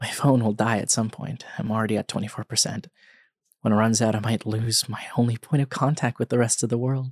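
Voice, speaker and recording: In a very clean recording with a silent background, a man with a plain, everyday voice talks at a fairly quick pace, his medium pitch carrying fairly even intonation. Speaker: podcast host. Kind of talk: scripted horror narration, reading a creepypasta aloud in first person.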